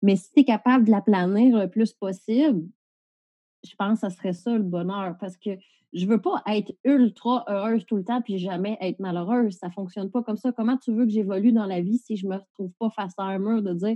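With a Quebec accent, a woman talks at a fairly quick pace in a medium pitch, her loudness swinging a lot. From Quebec, Valleyfield. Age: 30s. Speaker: police officer and entrepreneur. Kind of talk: casual interview. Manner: animated.

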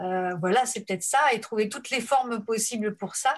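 A woman speaks with ordinary pitch variation. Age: 50s. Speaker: helping professional. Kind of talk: interview. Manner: halting.

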